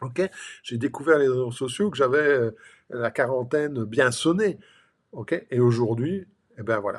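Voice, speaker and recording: In a very clean recording with a silent background, a man with an unremarkable speaking voice talks at a fairly slow pace and medium pitch, his intonation lively and his loudness swinging widely. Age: 60s. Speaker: life and business coach. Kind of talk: motivational talk to camera. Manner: casual, filler-heavy.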